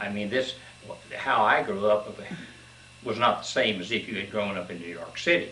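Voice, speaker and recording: Spoken in an Appalachian accent at a moderate pace with ordinary pitch variation, the voice comes through audible room echo and noticeable background noise. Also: man. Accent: Appalachian Kentucky. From Kentucky, Cumberland Gap. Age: 70s. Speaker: interviewee recounting his life. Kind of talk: oral history interview. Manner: halting, many fillers.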